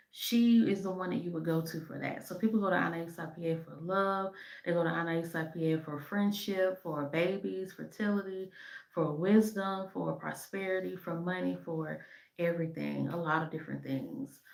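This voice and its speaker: A woman with a fairly low pitch speaks at a moderate pace in a fairly even intonation. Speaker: spiritual practitioner and shop owner. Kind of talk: educational talk to camera. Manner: halting, many fillers.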